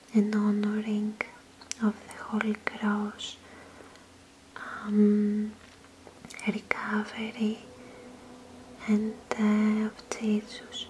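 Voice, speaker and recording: Very slow, flat, monotone speech from a woman with long, frequent pauses over noticeable background noise. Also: fairly high pitch for a woman, big swings in loudness. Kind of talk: casual talk to camera.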